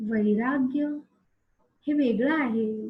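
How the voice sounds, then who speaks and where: A woman's somewhat breathy voice carries ordinary pitch variation. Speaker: meditation guide. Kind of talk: guided meditation.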